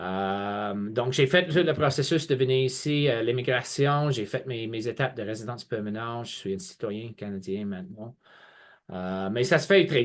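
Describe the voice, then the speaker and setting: Against a quiet background, a man with a slight English accent and a medium pitch talks at a fairly slow pace with lively intonation. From England. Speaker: college representative. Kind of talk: webinar presentation. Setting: online video webinar. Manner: hesitant, many fillers and repetitions.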